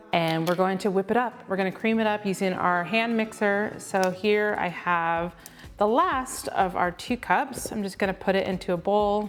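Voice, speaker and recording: A woman's medium-pitched voice with an upbeat tone over music in the background. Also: moderate pace. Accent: American. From US West Coast (Oceanside, California). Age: 30s. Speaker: home cook, baking show winner. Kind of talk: cooking tutorial.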